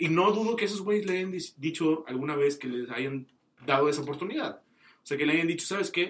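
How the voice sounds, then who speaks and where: At a fairly quick pace, a man talks in an ordinary speaking voice, fairly high in pitch with ordinary pitch variation. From Mexico, Tamaulipas. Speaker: podcast guest. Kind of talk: casual chat.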